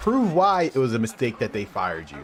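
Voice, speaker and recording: A man with a fairly high voice swings his pitch very widely over noticeable background noise. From Philadelphia, US. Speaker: gaming streamer. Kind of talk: live stream commentary.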